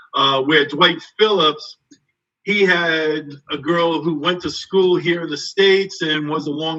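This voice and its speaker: Speaking at a fairly slow pace, a man with a New England accent keeps a fairly high pitch and a monotone, flat intonation. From Somerset, Massachusetts. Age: 60s. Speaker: track and field coach. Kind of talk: interview on live stream. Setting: online live stream.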